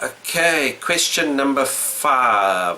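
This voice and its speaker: A man with a South African accent, with noticeable background noise. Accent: mild South African, says he doesn't change it. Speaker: retro gaming YouTuber. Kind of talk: casual vlog answering questions. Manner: unscripted, hesitant with fillers.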